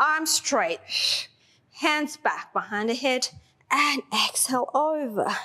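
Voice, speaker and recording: Against a quiet background, a woman speaks in a raised, projected voice at a very slow pace. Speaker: fitness instructor. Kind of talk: exercise class cueing. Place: gym.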